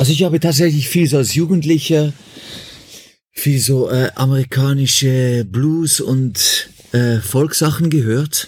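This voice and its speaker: At a fairly slow pace, a man with fairly high pitch sounds somewhat breathy, his loudness staying very even. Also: ordinary pitch variation. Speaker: musician. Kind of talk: interview. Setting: remote call.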